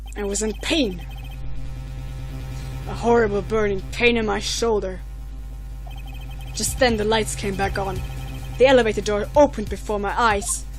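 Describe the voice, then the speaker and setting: A put-on character voice leaves long, frequent pauses over clear background music. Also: moderate pace. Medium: game stream. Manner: arrogant, menacing.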